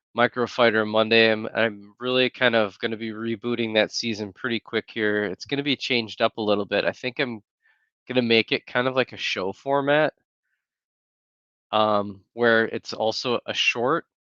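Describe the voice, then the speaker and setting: Soft-spoken and with a bright, sharp tone, a man with an American accent talks at a moderate pace and medium pitch, using fairly even intonation over a quiet background. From Wisconsin, US Midwest (Green Bay). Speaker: YouTuber. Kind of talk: casual livestream chat. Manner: softly spoken.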